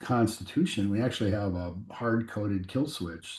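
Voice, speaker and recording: The voice carries an American accent and a dark, mellow tone. It is somewhat breathy, with ordinary pitch variation. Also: man. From US Midwest (western Nebraska). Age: 60s. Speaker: aviation company CEO. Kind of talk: podcast interview. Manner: halting, many fillers.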